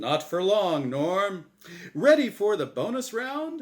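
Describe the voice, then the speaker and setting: Using a put-on character voice, the speaker goes at a fairly slow pace with very wide pitch swings. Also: man, high pitch for a man. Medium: read story. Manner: cheery game show patter.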